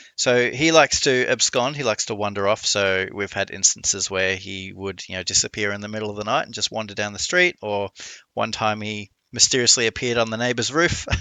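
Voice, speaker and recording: With an Australian accent, a man speaks in a fairly low pitch, barely pausing at all. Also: ordinary pitch variation, fairly quick pace. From Australia, Melbourne. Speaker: streamer. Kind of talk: casual interview chat.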